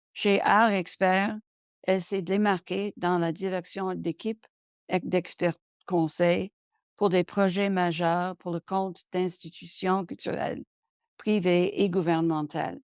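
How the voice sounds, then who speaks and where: The pace is very slow. The intonation stays monotone and flat. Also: woman, medium pitch for a woman. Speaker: webinar moderator and arts management consultant. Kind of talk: webinar introduction read from prepared text. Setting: online webinar. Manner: halting, frequent self-corrections.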